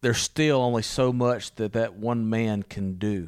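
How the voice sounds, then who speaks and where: A man speaks at a medium pitch with a Louisiana accent. His intonation stays fairly even. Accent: Southern US (Louisiana). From US South, Louisiana. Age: 40s. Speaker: missionary preacher. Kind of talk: casual interview. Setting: recorded on location in Italy.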